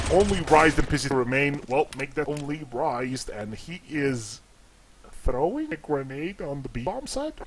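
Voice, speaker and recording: A man with a fairly high pitch speaks at a moderate pace with ordinary pitch variation, his loudness swinging widely over noticeable background noise. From Slovenia. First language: Slovene. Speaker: esports commentator. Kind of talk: live commentary. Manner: halting, many restarts; animated.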